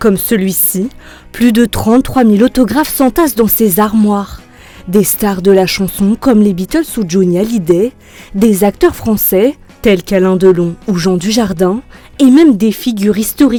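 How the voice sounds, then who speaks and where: A woman talks at a fairly slow pace with very even loudness. Her pitch varies normally, and music plays in the background. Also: medium pitch for a woman. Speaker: news reporter. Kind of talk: TV news report narration.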